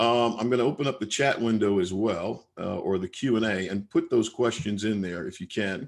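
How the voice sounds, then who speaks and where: This man has an ordinary speaking voice with an American accent and a fairly low pitch. He talks at a fairly quick pace with ordinary pitch variation. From US Northeast. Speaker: leadership trainer. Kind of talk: webinar presentation. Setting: online webinar.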